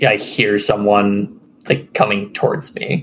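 A fairly low-pitched male voice comes through noticeable background noise. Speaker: tabletop RPG player. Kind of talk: casual tabletop game chat.

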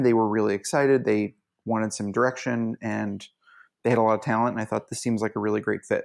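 A man at medium pitch with fairly even intonation and a normal speaking voice, on a very clean recording with a silent background. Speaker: mock trial coach and tournament organizer. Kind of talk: interview.

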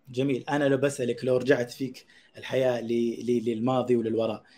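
A man's somewhat breathy voice, medium in pitch, with a dark, mellow tone at a moderate pace. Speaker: podcast host. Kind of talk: interview, scripted intro then casual chat. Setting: studio, streamed live.

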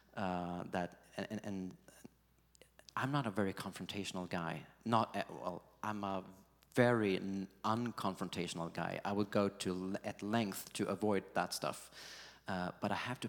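At a fairly slow pace, a man with a fairly low pitch speaks in fairly even intonation, recorded very cleanly over a silent background. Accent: Swedish. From Sweden. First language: Swedish. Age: 40s. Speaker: pastor. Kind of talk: interview.

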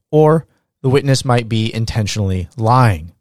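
An ordinary speaking voice moves at a moderate pace with ordinary pitch variation, recorded very cleanly against a silent background with a dry, close sound and no echo. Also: man. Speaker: law lecturer. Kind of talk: lecture. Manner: formal.

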